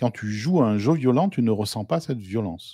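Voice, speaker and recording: Over a silent background in a very clean recording, a man speaks at a medium pitch with lively intonation. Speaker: guest analyst on game law. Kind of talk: debate discussion.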